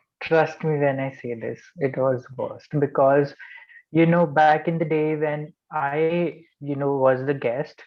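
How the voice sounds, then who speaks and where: A man's fairly high pitch at a fairly slow pace, with monotone, flat intonation. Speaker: club member. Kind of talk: casual anecdote.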